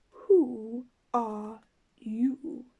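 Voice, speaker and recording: Using a put-on character voice, a woman speaks. Her pitch is high. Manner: languid, sleepy.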